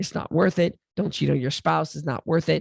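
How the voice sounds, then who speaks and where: A woman's very deep, low voice with vocal fry and very wide pitch swings, dry and close with no echo, over a quiet background. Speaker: weight loss coach and podcaster. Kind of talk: motivational talk. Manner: animated.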